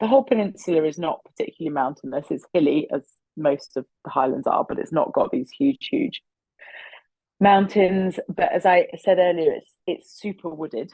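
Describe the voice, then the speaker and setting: Her pitch swinging very widely, a woman speaks at a moderate pace in a medium-pitched voice. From Essex, England. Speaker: distillery founder. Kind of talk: interview.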